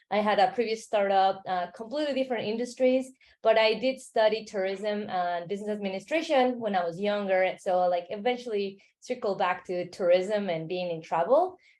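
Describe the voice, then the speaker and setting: Delivered in a Mexican accent, the speech moves at a fairly quick pace with ordinary pitch variation. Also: woman, medium pitch for a woman. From Mexico City, Mexico. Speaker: travel startup founder. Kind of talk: interview.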